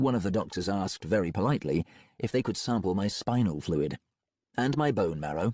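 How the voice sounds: Quiet background, lively intonation, a natural reading voice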